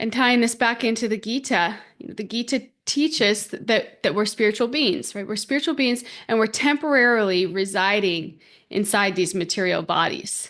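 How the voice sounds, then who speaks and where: A woman talks in a plain, everyday voice at a fairly high pitch, with ordinary pitch variation. The pace is moderate and the background is quiet. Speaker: podcast host and spiritual teacher. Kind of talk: spiritual teaching podcast talk. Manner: conversational, warm, reflective.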